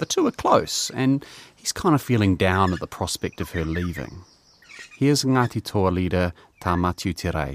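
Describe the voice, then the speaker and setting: A man with a New Zealand accent speaks at a moderate pace in a very deep, low voice with lively intonation, and the sound is dry and close with no echo. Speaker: podcast co-host and producer. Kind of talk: scripted narration.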